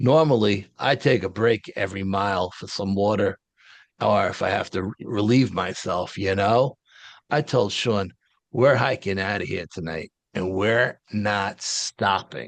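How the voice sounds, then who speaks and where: Against a quiet background, a man speaks fairly slowly at a fairly low pitch with ordinary pitch variation. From Detroit, Michigan. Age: 60s. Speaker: paranormal eyewitness. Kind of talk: interview storytelling. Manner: animated.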